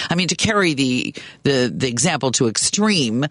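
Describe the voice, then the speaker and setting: In a normal speaking voice, a man with a fairly high pitch talks at a moderate pace with lively intonation, the sound dry and close with no echo. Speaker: guest radio host. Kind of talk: talk radio interview. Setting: radio studio.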